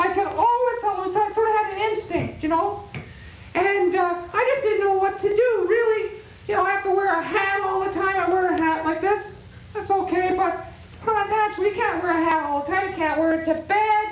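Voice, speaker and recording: A woman's squeaky, put-on character voice at an extremely high pitch, with fairly even intonation, a fairly quick pace and a slight echo. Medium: comedy sketch. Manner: rambling, filler-heavy.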